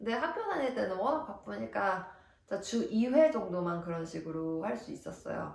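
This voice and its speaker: With noticeable background noise and audible room echo, a woman speaks at a fairly slow pace, her pitch swinging very widely. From South Korea. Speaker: nurse and vlogger. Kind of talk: vlog advice talk. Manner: casual, friendly.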